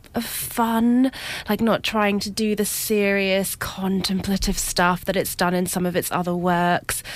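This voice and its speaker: With a plain, everyday voice, a woman talks at a moderate pace with ordinary pitch variation. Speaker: film reviewer. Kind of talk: radio panel discussion. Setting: radio studio.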